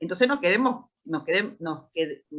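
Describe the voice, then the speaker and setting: A woman speaks in a Rioplatense accent at a moderate pace, her medium pitch carrying a bright, sharp tone. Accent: Argentine Spanish (rioplatense). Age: 60s. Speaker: founder of a special-needs institution, parent. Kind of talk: panel discussion.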